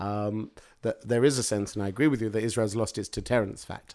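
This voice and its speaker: Speaking with a British accent, a man uses a fairly low pitch and a dark, mellow tone at a fairly quick pace. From Britain. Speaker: public speaker on Middle East politics. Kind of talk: interview. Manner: halting, many fillers.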